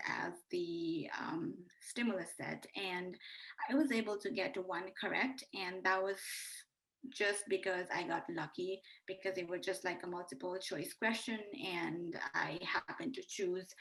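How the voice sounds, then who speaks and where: At a fairly slow pace, a woman with a non-native accent speaks at a medium pitch with ordinary pitch variation. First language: not English. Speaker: graduate student. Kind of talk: class presentation. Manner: halting, many fillers.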